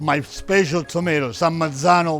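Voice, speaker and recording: A man speaks with a Sicilian accent and ordinary pitch variation. Music plays in the background. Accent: Italian (Sicilian). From Sicily. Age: 70s. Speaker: chef, restaurant owner. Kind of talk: cooking demonstration. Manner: energetic, playful.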